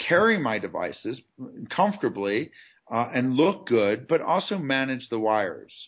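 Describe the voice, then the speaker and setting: His medium-pitched voice swings very widely up and down as this man talks. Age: 50s. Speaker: CEO of a clothing company, former lawyer. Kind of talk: interview. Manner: halting, many fillers.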